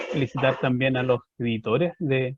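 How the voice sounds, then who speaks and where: This man's voice is somewhat breathy, with a Chilean accent. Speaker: historian, book presenter. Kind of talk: book presentation talk. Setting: online video event.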